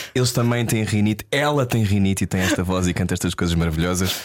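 A man with a fairly low pitch speaks at a fairly quick pace in an ordinary speaking voice, with ordinary pitch variation. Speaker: radio host. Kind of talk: interview.

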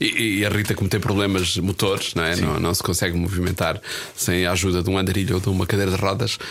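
Very fast and with very even loudness, a man speaks in a very deep, low pitch and monotone, flat intonation amid noticeable background noise. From northern Portugal, Espinho. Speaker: film journalist. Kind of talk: casual chat.

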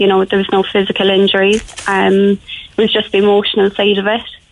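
Noticeable background noise surrounds a woman's voice. She speaks at medium pitch in a flat monotone. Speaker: assault survivor. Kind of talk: personal testimony.

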